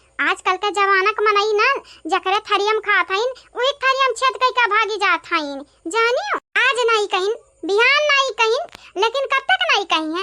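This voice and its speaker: A woman puts on a character voice. It is squeaky and extremely high-pitched. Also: moderate pace, ordinary pitch variation. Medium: comedy sketch. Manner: loud, teasing.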